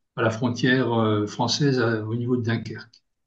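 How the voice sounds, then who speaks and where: The voice is somewhat breathy. Room echo can be heard. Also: man. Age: 60s. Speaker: long-distance cyclist. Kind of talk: interview. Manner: halting, many hesitations.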